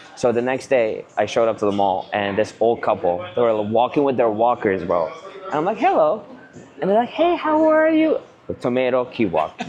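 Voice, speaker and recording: Over noticeable background noise, a man speaks in an animated tone at a moderate pace, his loudness very even. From Canada (immigrated as a teen). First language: not English. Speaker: real estate agent, vlogger. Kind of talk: casual chat.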